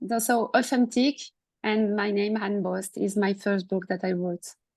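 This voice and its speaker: A French accent with fairly even intonation. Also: woman. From France. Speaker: coach and author. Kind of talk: casual discussion. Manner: halting.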